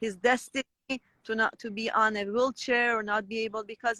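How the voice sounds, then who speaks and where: This woman has a bright, sharp tone and speaks with a Persian accent. The sound is dry and close, with no echo. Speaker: raw vegan guest sharing testimony. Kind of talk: testimony. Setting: Instagram live. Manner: halting, self-correcting.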